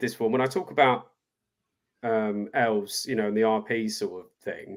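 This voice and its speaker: This man's pitch swings very widely while he keeps a moderate pace. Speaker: voice and dialect coach, voice actor. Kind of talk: interview answer.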